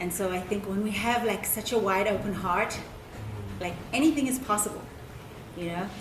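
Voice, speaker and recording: Through audible room echo and noticeable background noise, a woman speaks at a medium pitch with ordinary pitch variation. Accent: South African. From South Africa. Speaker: anthropologist. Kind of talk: public talk. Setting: event with live audience.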